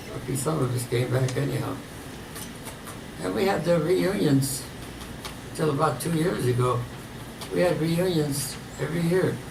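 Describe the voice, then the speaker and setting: A man speaks in a fairly high voice at a moderate pace with lively intonation and long, frequent pauses. Audible room echo and noticeable background noise are present. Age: 90s. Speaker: war veteran. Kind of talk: testimony. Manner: halting.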